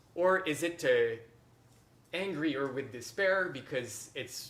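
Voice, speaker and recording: A man in a French accent, fairly high in pitch with ordinary variation, at a fairly slow pace over noticeable background noise. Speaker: harpist and workshop teacher. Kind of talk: masterclass teaching. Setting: workshop with online participants.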